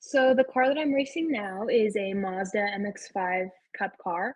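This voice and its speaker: Somewhat breathy and fairly high in pitch, a woman speaks with a General American accent. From Arizona. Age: 18. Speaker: race car driver. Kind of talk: podcast interview. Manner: casual, many fillers.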